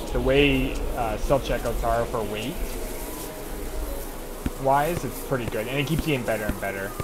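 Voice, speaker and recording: There is noticeable background noise behind this man. He talks at a moderate pace. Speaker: streamer. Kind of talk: casual stream chat. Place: home room. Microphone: headset.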